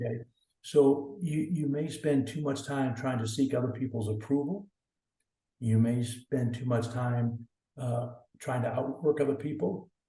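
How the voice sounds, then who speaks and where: A man with an American accent speaks at a fairly slow pace and medium pitch in a dark, mellow, somewhat breathy tone with ordinary pitch variation. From US South, northeast Oklahoma. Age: 60s. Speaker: athletics director. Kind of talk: podcast interview. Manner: hesitant, many fillers and repeats.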